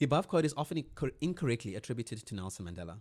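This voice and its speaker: A man talks at a very fast pace in a somewhat breathy voice. The sound is dry and close with no echo, on a very clean recording with a silent background. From South Africa, Cape Town (Cape Flats). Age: 40s. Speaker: marketer. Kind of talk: reading aloud. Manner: halting.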